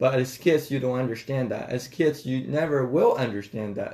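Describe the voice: A man talks at a medium pitch with ordinary pitch variation. His tone is slightly mellow.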